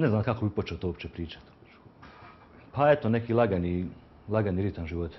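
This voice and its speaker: A man with a fairly low pitch and ordinary pitch variation rattles along at a very fast pace yet leaves long, frequent pauses. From Croatia, Dubrovnik; Croatia. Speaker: picture framer and youth handball coach; interviewee. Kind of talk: street interview. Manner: halting. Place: shop. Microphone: lapel.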